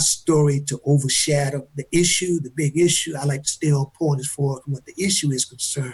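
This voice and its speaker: Somewhat breathy and fairly high in pitch, a man speaks at a moderate pace with monotone, flat intonation. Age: 70s. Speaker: exoneree. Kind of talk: panel discussion. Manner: halting.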